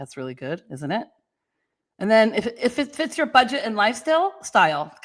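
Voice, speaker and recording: Very wide pitch swings, big swings in loudness, and vocal fry on a very clean recording with a silent background. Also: woman, fairly high pitch for a woman, moderate pace. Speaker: real estate agent. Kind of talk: podcast monologue. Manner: casual.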